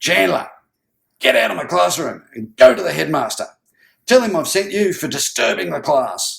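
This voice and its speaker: A booming put-on character voice at a moderate pace with big swings in loudness. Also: man. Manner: booming, angry.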